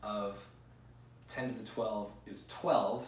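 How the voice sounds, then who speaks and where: Over noticeable background noise and audible room echo, a man talks at a very slow pace with fairly even intonation. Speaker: physics teacher. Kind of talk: lecture. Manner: louder than normal conversation; frequent fillers.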